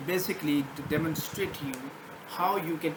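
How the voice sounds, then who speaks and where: A man speaks at a fairly high pitch with a non-native accent. Noticeable background noise and audible room echo are present. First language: not English. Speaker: programming tutor. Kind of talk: screen-share coding tutorial. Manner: halting, many fillers and restarts.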